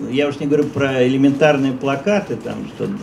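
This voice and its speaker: A man's voice over light background noise. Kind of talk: interview answer. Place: shop. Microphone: handheld.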